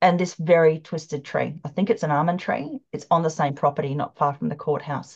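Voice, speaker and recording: A woman with an Australian accent speaks at a very deep, low pitch, somewhat breathy and with fairly even intonation. She goes at a fairly quick pace with hardly any pauses. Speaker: ley line researcher and psychic development teacher. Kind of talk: presentation with slides. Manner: fast.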